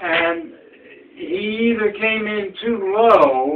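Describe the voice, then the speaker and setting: A man's voice comes through with clearly audible noise in the background. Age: 90s. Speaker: war veteran. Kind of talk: casual chat. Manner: halting. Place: home room. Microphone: camera far.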